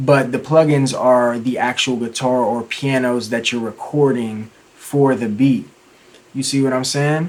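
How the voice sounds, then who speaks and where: Light background noise sits behind a man speaking at a fairly slow pace with fairly even intonation. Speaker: music producer and tutorial youtuber; music production tutor. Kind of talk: tutorial.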